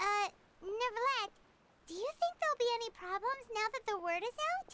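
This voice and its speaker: A put-on character voice pitched extremely high talks at a moderate pace. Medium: video game. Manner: casual, friendly.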